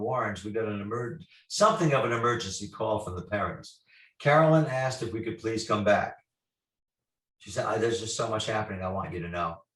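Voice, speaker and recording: With lively intonation and a medium pitch, a man talks at a fairly quick pace in a plain, everyday voice. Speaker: paranormal investigator. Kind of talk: storytelling interview.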